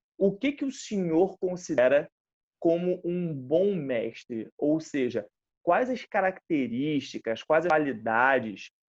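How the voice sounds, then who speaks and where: Here a man talks at a very slow pace. His pitch is fairly high, and the sound is dry and close, with no echo. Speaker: interviewer, kung fu instructor. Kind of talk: interview. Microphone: connection cutting out.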